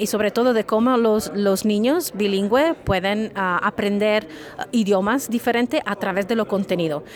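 A woman's medium-pitched voice against noticeable background noise. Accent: Italian. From Italy, Sicily. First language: Italian (speaking Spanish). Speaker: professor. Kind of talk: interview. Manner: halting, many fillers and repetitions.

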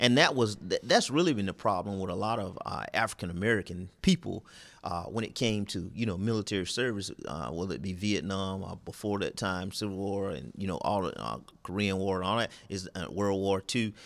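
In a very clean recording with a silent background, a man with a Southern US accent speaks at a moderate pace and a fairly low pitch, with ordinary pitch variation. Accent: Southern US (Georgia). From US South, southeast Georgia. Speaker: pastor and retired army officer. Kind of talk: interview conversation.

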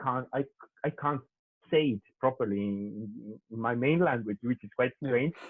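With an Italian accent, a man speaks at a moderate pace in a medium pitch with ordinary pitch variation. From Italy. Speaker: UX designer. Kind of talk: casual interview.

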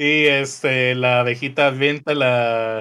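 A man talks at a very slow pace with monotone, flat intonation. His pitch is medium. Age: 20s. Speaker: podcast co-host. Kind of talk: casual chat.

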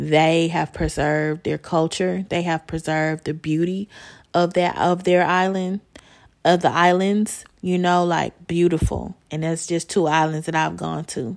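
A woman with an American accent, fairly low in pitch, speaking at a fairly slow pace in a monotone, flat intonation, on a very clean recording with a silent background. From US Midwest, Chicago. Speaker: podcast host. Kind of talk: casual solo monologue.

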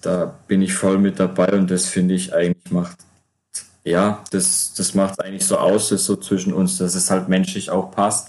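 Speech at a moderate pace with a flat, monotone delivery. The loudness stays very even throughout. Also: man, very deep, low pitch for a man. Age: 20s. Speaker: player-coach, former semi-pro footballer. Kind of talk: casual chat. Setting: remote call.

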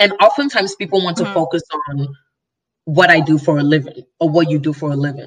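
The speaker talks at a very fast pace with an American accent. The voice is somewhat breathy, with ordinary pitch variation. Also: woman, fairly low pitch for a woman. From Nigeria and Chicago. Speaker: guest. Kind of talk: casual conversational chat about identity.

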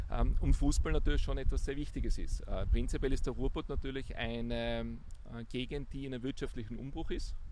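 A man talks at a fairly quick pace with hardly any pauses, and audible room echo surrounds his words. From Austria, Tyrol (Innsbruck). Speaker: business executive. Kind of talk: interview. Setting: outdoors.

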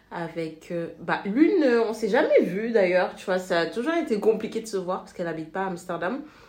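A woman talks, and audible room echo hangs around her words. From Senegal. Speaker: expat guest. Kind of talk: casual chat.

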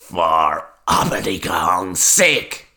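This put-on character voice is raspy and cackling, pitched very deep and low.

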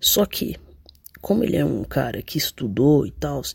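Dry and close with no echo, a man's fairly high, somewhat breathy voice comes through. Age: 20s. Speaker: listener sending voice message. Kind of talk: recorded voice message.

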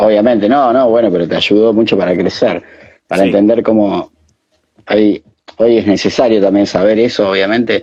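With an Argentine accent, a man speaks in a fairly low, dark and mellow voice with fairly even intonation and very even loudness. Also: moderate pace. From Argentina, Santa Fe province. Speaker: DJ and interview host. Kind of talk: casual chat. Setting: video call.

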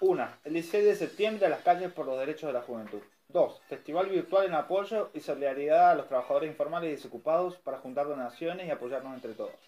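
Talking at a very fast pace, a man has a high pitch, a dark, mellow tone and ordinary pitch variation. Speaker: community radio host. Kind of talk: news reading.

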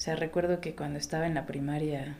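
This is a normal speaking voice at a moderate pace. Pitch variation is ordinary. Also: woman. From Mexico, Oaxaca. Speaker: photographer. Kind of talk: casual interview chat.

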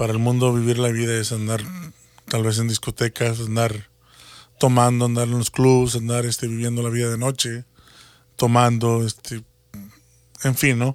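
A man speaks at a moderate pace and medium pitch, leaving long, frequent pauses. His intonation is monotone and flat, in a very clean recording with a silent background. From Mexico, Matamoros, Tamaulipas. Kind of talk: religious talk show chat.

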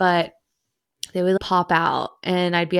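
With a western US accent, a woman speaks at a moderate pace in a very clean recording with a silent background. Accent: western US American. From Idaho, US. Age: 30s. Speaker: podcaster. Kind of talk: casual solo podcast monologue.

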